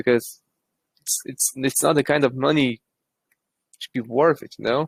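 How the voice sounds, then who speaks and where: With an Eastern European accent, a man speaks at a fairly high pitch. His intonation is fairly even and his pace moderate. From Lithuania. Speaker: crypto project team member. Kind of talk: casual chat.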